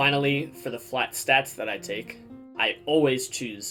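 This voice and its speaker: Music in the background behind a man talking at a moderate speed. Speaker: video game player and streamer. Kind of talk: game strategy tutorial.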